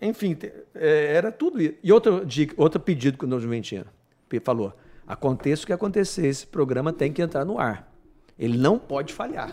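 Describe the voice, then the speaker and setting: With a dark, mellow tone, a man speaks at a fairly quick pace in a fairly high pitch, his pitch swinging very widely. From Brazil, born Paraná, raised partly Goiás. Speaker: company manager and Disney excellence program speaker. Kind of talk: casual interview chat.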